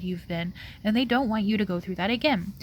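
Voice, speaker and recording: A woman speaks at a medium pitch, her voice somewhat breathy, with ordinary rise and fall. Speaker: tarot reader. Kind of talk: pick-a-card tarot reading to camera. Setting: outdoors. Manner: casual, filler-heavy.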